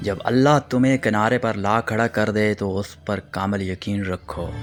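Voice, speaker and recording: With music playing behind him, a man talks at a fairly low pitch with fairly even intonation. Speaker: radio-style voice-over presenter. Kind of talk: motivational quotes narration.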